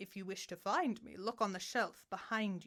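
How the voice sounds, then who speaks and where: Moderate pacing in a put-on character voice. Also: woman. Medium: read story. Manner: formal, condescending.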